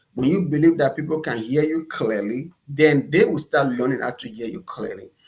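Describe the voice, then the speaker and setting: Somewhat breathy, fairly high male voice, ordinary pitch variation, big swings in loudness. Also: moderate pace. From Nigeria. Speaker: entrepreneur. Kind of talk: interview.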